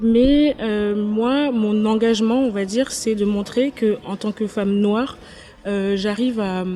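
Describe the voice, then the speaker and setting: A woman speaks at a very slow pace. Her fairly high pitch follows a fairly even intonation. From Paris, France. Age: 20s. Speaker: content creator. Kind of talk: interview. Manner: hesitant, many fillers.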